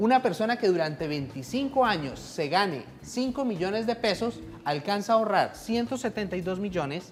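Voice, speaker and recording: Using a normal speaking voice, a woman talks at a moderate pace in a medium pitch with lively intonation. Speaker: pension lawyer. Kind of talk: radio legal advice segment.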